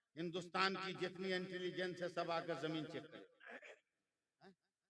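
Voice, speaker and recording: A man speaks with a high pitch. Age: 60s. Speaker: Islamic preacher. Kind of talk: sermon.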